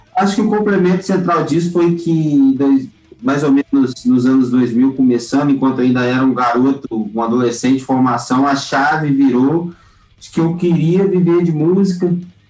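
Over noticeable background noise, a man talks at a moderate pace in a fairly high pitch with ordinary pitch variation. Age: 30s. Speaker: music producer and festival organizer. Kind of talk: podcast interview.

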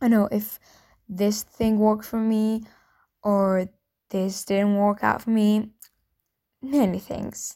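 In a very clean recording with a silent background, a woman with a non-native accent speaks very slowly in a flat monotone, her medium-pitched voice dark and mellow, broken by long, frequent pauses. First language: not English. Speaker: new podcaster. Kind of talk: casual solo podcast intro.

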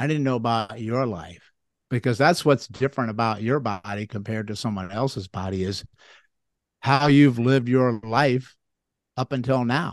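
This man talks at a moderate pace with a medium pitch. His pitch varies in an ordinary way, and the background is quiet. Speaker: chiropractor and lymphatic health educator. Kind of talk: casual explanatory interview. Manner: animated, explains with analogies.

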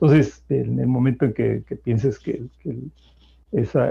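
Speaking very slowly with vocal fry, a man keeps a medium pitch and ordinary pitch variation. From Mexico. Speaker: public health activist. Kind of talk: interview. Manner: halting.

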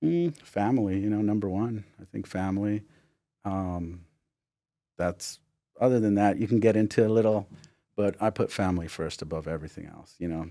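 A man with a fairly low pitch and a dark, mellow tone speaks at a moderate pace with long, frequent pauses, big swings in loudness and ordinary pitch variation, on a very clean recording with a silent background. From Los Angeles, Whittier, California. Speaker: business owner, podcast co-host. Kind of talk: casual chat.

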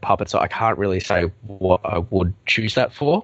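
A man is talking with a fairly low pitch. His pitch variation is ordinary. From Melbourne, Australia. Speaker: IT consultant. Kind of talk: casual interview chat.

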